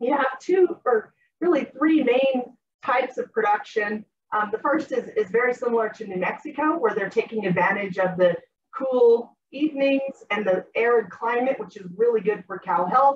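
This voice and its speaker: A woman's high-pitched voice over light background noise. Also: moderate pace. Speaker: academic conference presenter. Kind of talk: academic presentation, casual phrasing. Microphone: video call.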